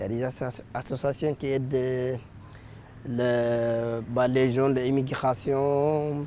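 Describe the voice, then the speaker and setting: Very slowly, a man speaks at a medium pitch in a dark, mellow tone. His intonation is monotone and flat. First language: not French (speaking French). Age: 20s. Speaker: apprentice, former unaccompanied minor refugee. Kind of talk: interview. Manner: halting, many hesitations.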